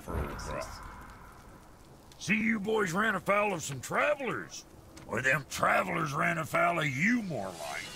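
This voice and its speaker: Putting on a raspy character voice, a man speaks at a moderate pace with long, frequent pauses over clear background noise. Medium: video game. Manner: gruff, crude.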